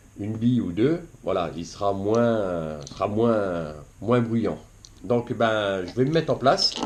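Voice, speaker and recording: Over noticeable background noise, a man speaks very slowly in a fairly low pitch. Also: lively intonation. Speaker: fishing YouTuber. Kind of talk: tutorial. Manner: halting, many fillers.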